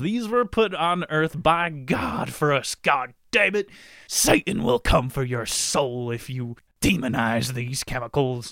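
In a put-on character voice, a man talks at a fairly slow pace and medium pitch with lively intonation, in a dry, close sound with no echo. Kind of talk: loud, dramatic. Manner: thundering, sermonizing.

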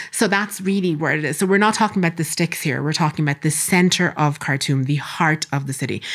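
Speaking with an Irish accent, a woman talks at a very fast pace with hardly any pauses. Her pitch is very deep and low, with ordinary variation. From Ireland, Castlebar (Co. Mayo). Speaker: doctor and assistant professor. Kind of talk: interview. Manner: animated.

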